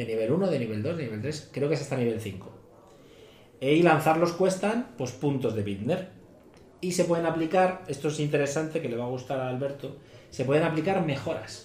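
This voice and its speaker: Room echo can be heard as a man talks at a fairly quick pace. His somewhat breathy voice is fairly high in pitch, with lively intonation. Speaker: tabletop role-playing podcaster. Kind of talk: casual chat.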